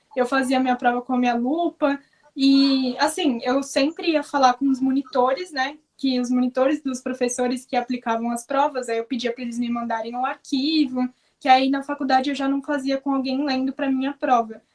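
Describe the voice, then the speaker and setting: At a moderate pace, a woman speaks in a high, flat monotone. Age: 20s. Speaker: law graduate with visual impairment. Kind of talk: interview conversation. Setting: video call.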